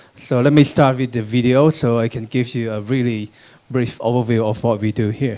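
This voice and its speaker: A man with a Thai accent at a moderate pace. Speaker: logistics startup CEO. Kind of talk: panel talk with slides. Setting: conference room with audience. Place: hall. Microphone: handheld.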